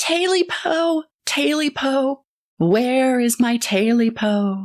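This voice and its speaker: Putting on a shrill character voice, a woman speaks at a high pitch and a very slow pace. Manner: screeching, wailing.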